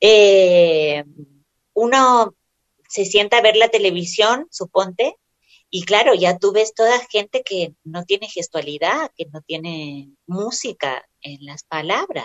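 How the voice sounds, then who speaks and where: A woman of medium pitch at a very slow pace, with lively intonation. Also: big swings in loudness. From Argentina, Córdoba. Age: 30s. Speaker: writer and actress. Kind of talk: interview.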